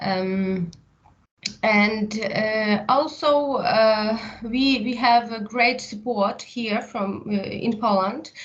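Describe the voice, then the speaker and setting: A woman speaks very slowly with a Ukrainian accent. Her voice is somewhat breathy and fairly high, with ordinary pitch variation. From Ukraine, Lviv. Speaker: psychotherapist and university teacher. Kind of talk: interview. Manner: halting, many fillers.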